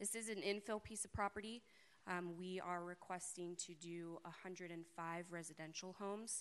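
A woman speaks at a fairly slow pace and a medium pitch, her intonation fairly even, in an ordinary speaking voice.

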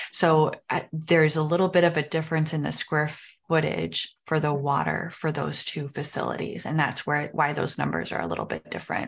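A woman with a very deep, low pitch and vocal fry talks at a fairly quick pace in a monotone, flat intonation, hardly pausing at all. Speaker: city recreation manager. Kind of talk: public meeting presentation. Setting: video call.

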